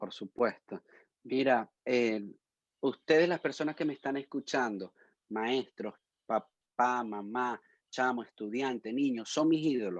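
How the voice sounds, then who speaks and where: Fairly slow speech in a Venezuelan accent, with ordinary pitch variation and a quiet background. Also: man, medium pitch for a man. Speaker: musician and educator. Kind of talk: interview; casual chat.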